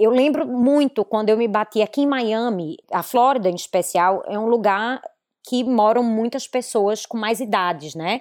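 An unremarkable speaking voice, fairly slow, with ordinary pitch variation. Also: woman, fairly high pitch for a woman. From Recife, northeastern Brazil. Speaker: fashion business consultant. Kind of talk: casual interview. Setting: video call.

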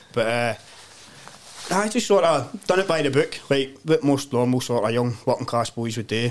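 A Glaswegian accent at a moderate pace. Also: man. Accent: Glaswegian Scottish. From Glasgow, Scotland (Govan). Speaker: community development worker. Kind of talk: casual chat. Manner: animated storytelling.

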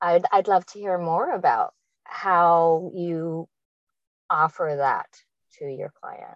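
A woman talks at a very slow pace with long, frequent pauses and big swings in loudness. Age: 50s. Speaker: podcast host. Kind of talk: casual interview. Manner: animated.

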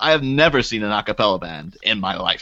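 A man's bright, sharp tone carries vocal fry and very wide pitch swings. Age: 30s. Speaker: podcast co-host appearing as guest. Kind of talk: casual chat.

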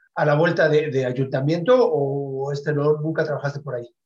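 A somewhat breathy man's voice, fairly high, at a fairly quick pace with ordinary pitch variation. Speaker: internet radio host. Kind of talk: interview.

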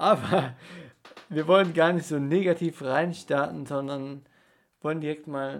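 Speech moves at a very slow pace. The pitch varies in an ordinary way. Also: man. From Rhineland-Palatinate, near Koblenz. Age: 20s. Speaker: student podcast co-host. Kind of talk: casual sports chat. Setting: studio room in Passau old town.

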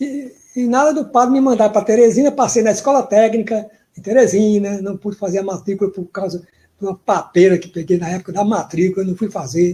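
A man with a high pitch and a dark, mellow tone speaks at a fairly quick pace with ordinary pitch variation. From Piauí, northeastern Brazil. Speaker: professor and cordel poet. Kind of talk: interview.

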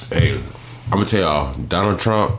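A man's very deep, low voice at a moderate pace, with audible room echo and noticeable background noise. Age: 30s. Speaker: podcast co-host. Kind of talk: casual chat.

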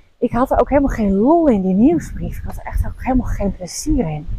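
A woman's voice with very wide pitch swings at a moderate pace. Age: 40s. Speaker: podcast host and coach for female leaders. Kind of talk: casual monologue.

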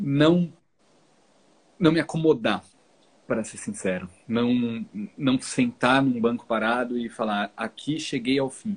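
With lively intonation and long, frequent pauses, a man speaks at a very slow pace and a medium pitch. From São Paulo, Brazil, moved south at 14. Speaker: minimalism content creator. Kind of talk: casual chat. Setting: live stream.

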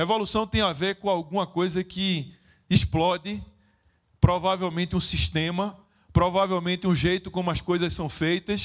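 The man's voice is high in pitch, with fairly even intonation. He keeps a moderate pace. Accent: Pernambuco. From Recife, Pernambuco, northeastern Brazil. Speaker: social project founder and speaker. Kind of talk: motivational stage talk. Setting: stage with audience.

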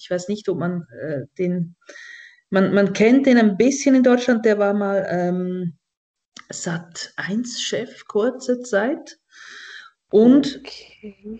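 A woman speaks at a very slow pace in a dark, mellow tone, her pitch fairly high and her intonation lively. Long, frequent pauses break her speech, and her loudness swings widely. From Switzerland. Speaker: satirist and cabaret artist. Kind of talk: casual comedic chat.

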